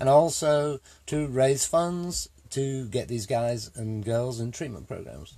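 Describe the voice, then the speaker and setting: A man's somewhat breathy voice, dark and mellow in tone, medium in pitch, with ordinary pitch variation at a very slow pace. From England. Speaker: army veteran, charity volunteer leader. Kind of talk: interview. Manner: halting, many fillers.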